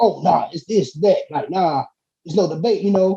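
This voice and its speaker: The voice has a dark, mellow tone and a Southern US accent. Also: man. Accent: country, Southern US. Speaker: hip-hop artist. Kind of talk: casual chat. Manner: fast; animated.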